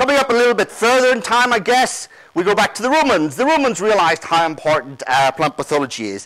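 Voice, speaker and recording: A man with an Irish accent talks very fast in a high voice. His pitch swings very widely. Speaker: plant pathologist, conference speaker. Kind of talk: conference talk.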